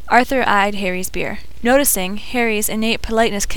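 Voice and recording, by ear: This clip is a natural voice reading text aloud.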